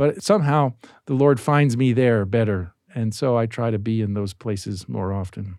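In a normal speaking voice, the man delivers his words at medium pitch and a moderate pace, his pitch varying ordinarily. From US, Baltimore, Maryland. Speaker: historian. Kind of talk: casual chat. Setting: studio.

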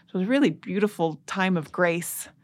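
Someone with a plain, everyday voice speaks at a moderate pace with ordinary pitch variation. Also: woman. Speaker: historian. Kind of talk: casual interview.

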